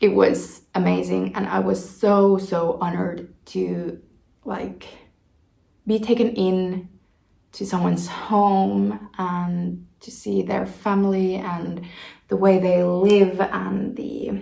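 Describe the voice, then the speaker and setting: Speaking at a very slow pace, a woman with a Finnish accent shows big swings in loudness. Room echo is audible. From Finland. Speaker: knitting vlogger. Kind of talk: casual vlog talk.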